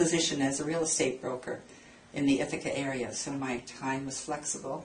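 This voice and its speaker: A woman speaks, and audible room echo surrounds her voice. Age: 70s. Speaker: dermatology patient. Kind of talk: casual chat.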